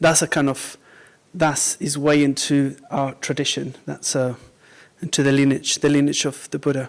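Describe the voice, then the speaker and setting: At a moderate pace, a man with a Mexican accent speaks at a fairly high pitch in a monotone, flat intonation. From Mexico. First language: Spanish. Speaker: Buddhist teacher. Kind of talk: dharma talk to a small group. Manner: mumbles sometimes; halting, many fillers.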